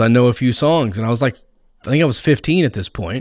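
On a very clean recording with a silent background, a man with a normal speaking voice talks fairly quickly at a medium pitch with ordinary pitch variation. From Texas, near Fort Worth. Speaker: comedian and podcast host. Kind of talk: casual interview.

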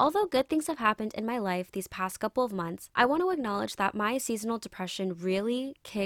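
An ordinary speaking voice from a woman with a fairly high pitch and ordinary pitch variation, dry and close with no echo. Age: 20s. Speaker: podcast host. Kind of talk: personal monologue.

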